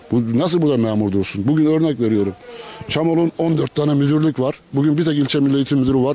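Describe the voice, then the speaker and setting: A man's fairly quick speech with ordinary pitch variation, in a dry sound with no echo. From Turkey. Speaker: local resident; interviewee. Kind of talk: street interview. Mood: complaining, earnest. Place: street. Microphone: handheld.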